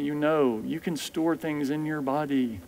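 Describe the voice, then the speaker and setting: A man with an American accent speaks in an ordinary speaking voice, fairly high pitched and with fairly even intonation. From US. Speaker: physician; guest. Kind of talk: lecture. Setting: stage with audience. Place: church. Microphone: headset.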